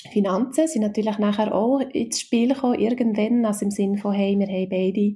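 Speaking in a Swiss accent, a woman with a medium pitch and a dark, mellow tone sounds somewhat breathy, with fairly even intonation. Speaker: HR consultant and mother. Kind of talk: interview. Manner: hesitant, many fillers.

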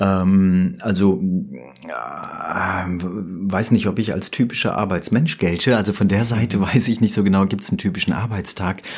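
A man with a fairly low pitch and ordinary pitch variation speaks fairly slowly with hardly any pauses, against noticeable background noise. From Germany, Rüsselsheim (Hesse). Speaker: professional voice-over artist. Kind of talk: interview. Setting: studio. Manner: polished, professional.

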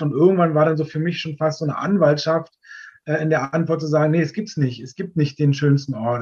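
A man's somewhat breathy, fairly high-pitched voice with fairly even intonation. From Berlin area, Germany. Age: 40s. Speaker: tour guide and long-term traveller. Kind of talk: casual interview.

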